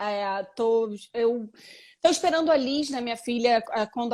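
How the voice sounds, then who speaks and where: The recording is very clean, with a silent background. A woman speaks in a high pitch. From Brazil. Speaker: actress and photographer. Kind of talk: live interview.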